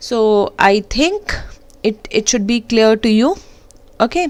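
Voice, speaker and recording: With an Indian accent, a woman speaks at a fairly slow pace. Her pitch swings very widely. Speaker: programming teacher. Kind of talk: tutorial.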